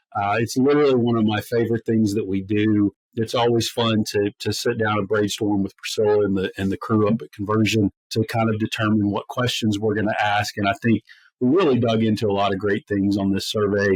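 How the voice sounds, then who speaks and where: An American-accented man speaks fairly quickly at a fairly low pitch, his intonation monotone and flat. The sound is dry and close with no echo. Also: quiet background. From US, north of the Mason-Dixon line. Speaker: podcast co-host. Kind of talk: casual chat.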